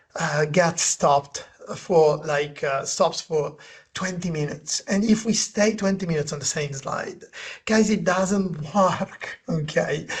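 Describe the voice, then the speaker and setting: Speaking at a high pitch and a fairly slow pace, a man talks with a non-native accent. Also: ordinary pitch variation. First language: not English. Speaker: presentation design consultant and author. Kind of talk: webinar conversation. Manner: halting.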